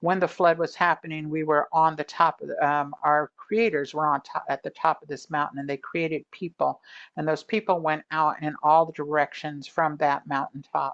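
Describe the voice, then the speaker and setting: Speaking in an Oakland accent, a woman with a very deep, low voice keeps a moderate pace, fairly even intonation and hardly any pauses. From Oakland, California. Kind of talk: presentation talk. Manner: casual, with many fillers.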